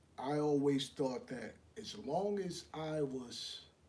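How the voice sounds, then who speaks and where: Lively intonation marks a man's fairly high, somewhat breathy voice. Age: 60s. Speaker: live show host, relationship advice. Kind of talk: live stream monologue. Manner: repetitive, restarts phrases.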